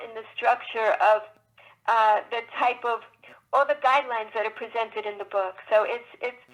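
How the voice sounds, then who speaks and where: A woman with a high voice speaks at a moderate pace. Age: 60s. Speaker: children's book author. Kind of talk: interview. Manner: halting.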